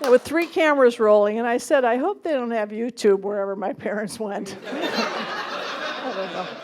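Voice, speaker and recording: A woman's fairly high voice with lively intonation, a moderate pace and hardly any pauses, over noticeable background noise. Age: 60s. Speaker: stand-up comedian. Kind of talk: stand-up comedy set. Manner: warm, witty storytelling.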